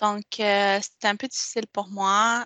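A woman speaks at a medium pitch and a fairly slow pace, with a bright, sharp tone. The sound is dry and close with no echo, and the background is quiet. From Quebec, Montreal. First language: Spanish (speaking French). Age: 20s. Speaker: interviewee sharing life story. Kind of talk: testimony. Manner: halting, many repetitions and fillers.

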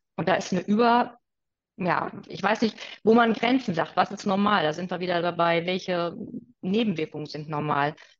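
A normal speaking voice, a woman's, medium in pitch, at a moderate pace with ordinary pitch variation. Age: 40s. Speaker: naturopath. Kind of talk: expert interview.

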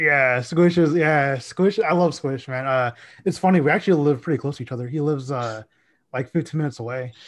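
A man speaks at a fairly quick pace, with a fairly high pitch and an American accent. His pitch varies in an ordinary way over a quiet background, and he has an unremarkable speaking voice. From Dallas, Texas. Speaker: sports social media account runner. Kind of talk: casual chat.

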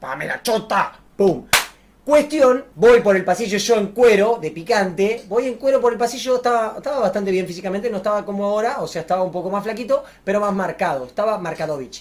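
Animated in tone, a man with a Rioplatense accent talks at a fairly quick pace with high pitch and lively intonation. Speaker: YouTuber. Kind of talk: casual storytelling to camera.

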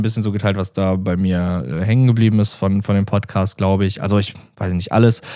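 Over a very clean recording with a silent background, a man speaks at a very fast pace. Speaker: podcast host. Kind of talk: solo podcast monologue. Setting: standing while recording. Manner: casual, filler-heavy; stumbling.

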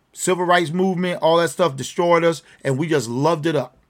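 Over a silent background in a very clean recording, a man speaks at a moderate pace with fairly high pitch and fairly even intonation. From Virginia, US. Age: around 60. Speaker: podcast host. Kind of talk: solo commentary monologue. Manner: ad-libbed, hesitant with fillers. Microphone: trying new headphones.

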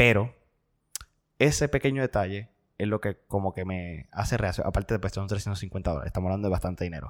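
A man with a fairly low pitch is heard in a very clean recording with a silent background and a dry, close sound with no echo. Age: 20s. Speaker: podcast co-host and seminarian. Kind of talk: casual chat.

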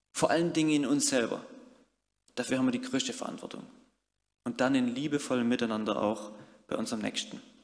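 A man at a very fast pace, with long, frequent pauses and audible room echo. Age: 30s. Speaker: youth worker and lay preacher. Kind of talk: sermon.

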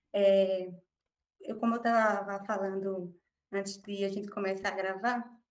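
This woman talks at a fairly slow pace in a medium pitch. Her intonation is flat and monotone. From Brazil, Recife. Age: 20s. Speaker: medical student, former lawyer. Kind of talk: interview storytelling.

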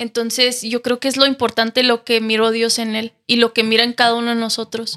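A woman's fairly high, bright, sharp voice at a fairly quick pace with hardly any pauses and monotone, flat intonation, on a very clean, dry, close recording with a silent background and no echo. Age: 20s. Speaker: TV show contestant. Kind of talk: casual faith interview.

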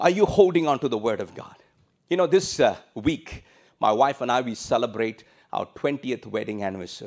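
A man at a medium pitch talks at a fairly quick pace, with very wide pitch swings and big swings in loudness. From India. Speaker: pastor. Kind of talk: sermon. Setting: church service streamed online.

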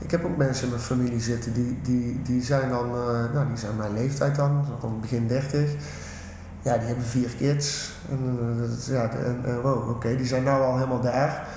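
A man speaks at a moderate pace and a medium pitch with monotone, flat intonation. Audible room echo and noticeable background noise fill the recording. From Netherlands, Tilburg (North Brabant). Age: 30s. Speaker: rapper and teacher. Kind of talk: casual interview.

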